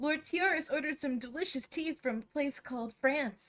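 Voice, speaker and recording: In a put-on character voice, a woman talks at a high pitch and a moderate pace. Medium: virtual streamer. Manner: formal, polite.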